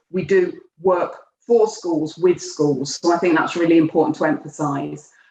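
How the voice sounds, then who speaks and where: A woman with a Birmingham accent at a moderate pace. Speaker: education programme director, former head teacher. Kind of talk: webinar presentation.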